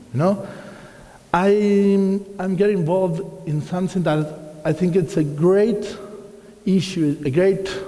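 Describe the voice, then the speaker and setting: A man speaks very slowly with an Argentine accent and ordinary pitch variation. Noticeable background noise and audible room echo surround his voice. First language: Spanish. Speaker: watercolor artist and teacher. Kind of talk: lecture. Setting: hall with live audience.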